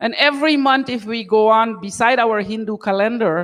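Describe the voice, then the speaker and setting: A woman's mid-range voice moves at a medium speed, its pitch varying in an ordinary way. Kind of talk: sermon-style talk to congregation. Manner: loud.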